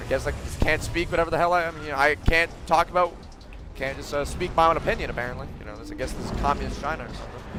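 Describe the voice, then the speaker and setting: A man at a very fast pace, with big swings in loudness and music in the background. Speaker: gaming streamer. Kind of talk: casual chat. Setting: live stream.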